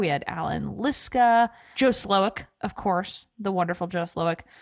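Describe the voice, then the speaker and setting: The recording is very clean, with a silent background. The tone is animated and the intonation lively. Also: woman. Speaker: podcast co-host. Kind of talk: casual chat.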